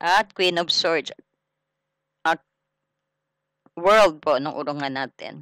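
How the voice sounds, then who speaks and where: The speech moves at a very slow pace. Long pauses come often. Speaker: tarot reader. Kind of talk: tarot reading. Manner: loud; casual, conversational.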